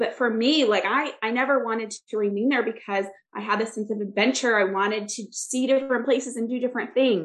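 An unremarkable speaking voice from a woman with an American accent, fairly high in pitch, fairly quick, with fairly even intonation. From US Midwest, Michigan. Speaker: success coach and therapist. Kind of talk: casual interview.

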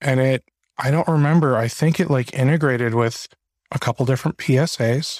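An unremarkable speaking voice with an American accent moves at a fairly quick pace and fairly even intonation. The recording is very clean with a silent background and a dry, close sound with no echo. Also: man, medium pitch for a man. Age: 30s. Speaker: podcast host. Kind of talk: podcast interview.

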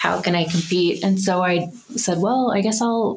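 A woman's unremarkable speaking voice with an American accent, ordinary pitch variation and a moderate pace. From US South, Birmingham, Alabama. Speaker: artist. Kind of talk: casual interview.

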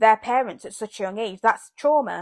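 In a British accent, a woman talks at a fairly quick pace with a fairly high pitch. The sound is dry and close, with no echo. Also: very clean recording, silent background. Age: 20s. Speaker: podcast host. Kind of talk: casual solo monologue.

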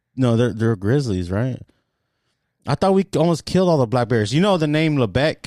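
With an American accent, a man of medium pitch speaks with very wide pitch swings in a very clean recording with a silent background and a dry, close sound with no echo. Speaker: podcast co-host and delivery truck driver. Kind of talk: casual chat. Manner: fast talker.

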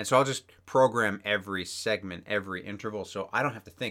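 In a very clean recording with a silent background, a man with a fairly low pitch and a bright, sharp tone speaks at a fairly quick pace with ordinary pitch variation. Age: 30s. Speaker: podcast co-host, runner. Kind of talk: casual chat.

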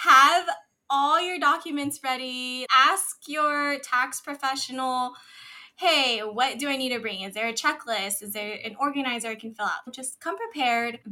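A woman speaks in a raised, projected voice with a high pitch and a bright, sharp tone. Her loudness swings widely, while her pitch varies in an ordinary way at a moderate pace. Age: 20s. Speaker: tax professional and business founder. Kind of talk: casual interview chat.

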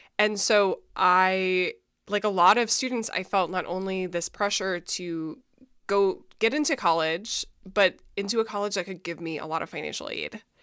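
With an American accent, a woman speaks at a moderate pace in a medium pitch with ordinary pitch variation, an unremarkable speaking voice. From Minnesota. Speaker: author and mental health advocate. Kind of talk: interview.

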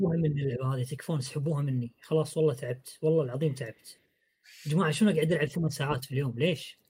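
Fairly high in pitch, a man talks at a very fast pace with fairly even intonation. His voice is somewhat breathy, with a dark, mellow tone. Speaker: podcast host. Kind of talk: casual chat about video games.

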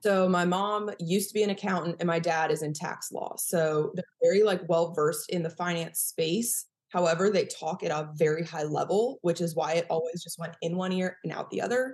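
A woman's fairly low voice with an American accent, fairly even intonation and hardly any pauses. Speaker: chiropractor and personal finance coach. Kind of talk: casual interview chat. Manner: fast talker.

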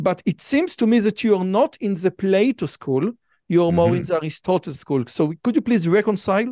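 In a dry, close sound with no echo, a man speaks at a high pitch with lively intonation. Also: fairly quick pace. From Israel. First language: Hebrew. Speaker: podcast host. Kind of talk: interview.

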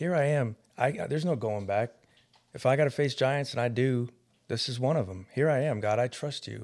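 An unremarkable speaking voice from a man, medium in pitch, ordinary in pitch variation, at a fairly quick pace. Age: 50s. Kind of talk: casual chat.

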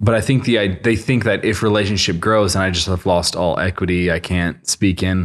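On a very clean recording with a silent background, a man with an unremarkable speaking voice talks fairly quickly at a fairly low pitch. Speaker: podcast host. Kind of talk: casual interview chat. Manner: casual, friendly.

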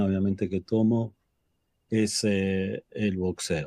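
The man's voice has a dark, mellow tone. He speaks at a very slow pace. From Buenos Aires, Argentina. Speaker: patient advocate. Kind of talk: webinar panel discussion.

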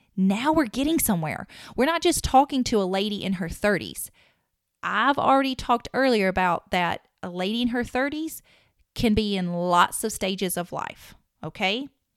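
The speaker has a strong Southern US accent and very wide pitch swings at a moderate pace. The recording is very clean with a silent background. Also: woman, fairly high pitch for a woman. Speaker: podcast host and marketing consultant. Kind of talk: solo podcast monologue.

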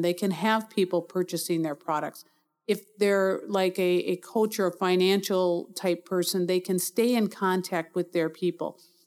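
Speaking at a moderate pace, a woman with an American accent uses an ordinary speaking voice at a medium pitch. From Milwaukee, Wisconsin. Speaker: small business owner, mobile app developer. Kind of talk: interview.

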